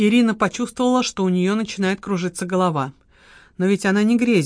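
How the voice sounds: Natural voice for reading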